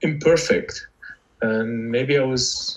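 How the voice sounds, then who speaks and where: A man with an Arabic accent. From Lebanon. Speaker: novelist. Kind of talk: interview conversation. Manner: halting, many fillers and repetitions.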